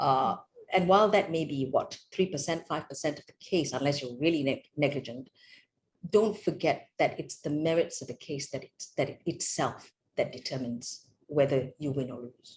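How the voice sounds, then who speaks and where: At a moderate pace, a woman talks with a very deep, low pitch, somewhat breathy, and with ordinary pitch variation. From Malaysia. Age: 60s. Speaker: judge. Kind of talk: interview. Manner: halting.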